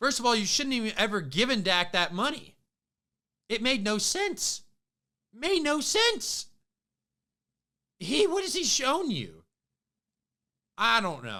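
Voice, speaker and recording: Raising and projecting his voice, a man speaks in a bright, sharp, animated tone with very wide pitch swings, at a fairly slow pace with long, frequent pauses, on a very clean recording with a silent background. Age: 20s. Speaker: sports podcast host. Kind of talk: casual sports commentary monologue.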